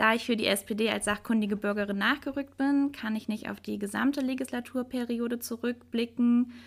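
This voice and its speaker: With hardly any pauses, a woman speaks at a moderate pace in a fairly high pitch, her intonation fairly even, in an unremarkable speaking voice. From Hilden, Rhineland, Germany. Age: 20s. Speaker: local politics volunteer. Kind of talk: panel discussion.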